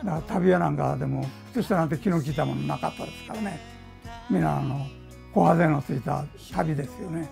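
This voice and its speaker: Very fast speech broken by long, frequent pauses, with clear music in the background. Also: man. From Ehime, Japan. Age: 80s+. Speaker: tailor. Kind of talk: interview answer. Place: workshop. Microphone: lapel.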